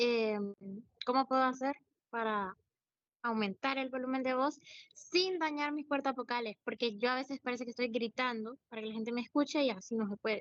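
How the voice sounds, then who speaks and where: High-pitched female voice with ordinary pitch variation, dry and close with no echo. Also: moderate pace. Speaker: student. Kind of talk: classroom question.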